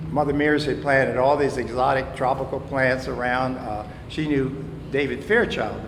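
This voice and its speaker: Someone speaks at a moderate pace with an American accent. Noticeable background noise and audible room echo are present. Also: man. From US South. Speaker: local resident sharing history. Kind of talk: storytelling to live audience. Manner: halting.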